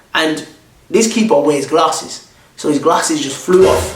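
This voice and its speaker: Through noticeable background noise, a man's fairly high voice moves in very wide pitch swings. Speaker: YouTuber. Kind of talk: personal storytelling.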